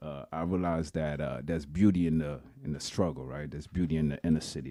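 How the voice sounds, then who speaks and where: In a Haitian accent, the speech runs at a very fast pace with fairly even intonation. The tone is dark and mellow, with big swings in loudness. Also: man. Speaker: clothing brand founder, tech sales professional. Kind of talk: interview. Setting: studio.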